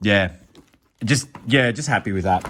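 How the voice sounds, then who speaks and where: An enthusiastic man with an Australian accent, at a moderate pace. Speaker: YouTuber, card collector. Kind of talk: casual vlog. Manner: casual, enthusiastic.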